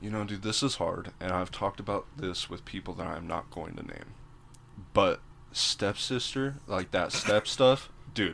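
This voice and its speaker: At a fairly low pitch, a man speaks at a moderate pace with ordinary pitch variation and big swings in loudness. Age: 20s. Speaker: podcast guest. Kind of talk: casual chat.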